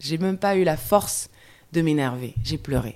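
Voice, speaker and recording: The recording is very clean with a silent background. The speaker uses lively intonation at a moderate pace. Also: woman. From Guadeloupe, raised in mainland France. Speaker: podcast guest sharing life story. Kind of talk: testimony. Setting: rainy day, recorded together. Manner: halting.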